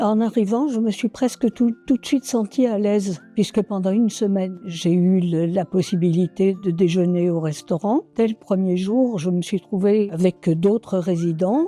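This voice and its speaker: In a quiet background, a woman with a medium pitch and a dark, mellow tone talks at a fairly slow pace with hardly any pauses. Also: ordinary pitch variation, dry, close sound with no echo. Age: 80s+. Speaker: retirement home resident. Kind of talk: testimonial interview. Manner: hesitant, with fillers.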